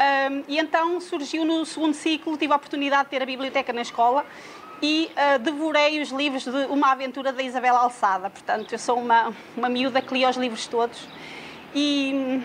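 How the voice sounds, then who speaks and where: Noticeable background noise sits behind this woman. Her pitch is high, her intonation fairly even, and her pace moderate. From Portugal, Leiria. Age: 40s. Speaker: social care director. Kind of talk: personal talk about reading. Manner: hesitant, many fillers.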